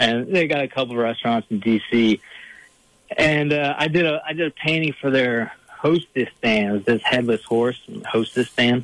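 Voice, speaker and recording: This speaker has a Virginia accent. The pace is moderate, with ordinary pitch variation. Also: man, medium pitch for a man. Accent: noticeable Virginia. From Northern Virginia, Fairfax County. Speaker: painter and bear hunter. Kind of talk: casual interview.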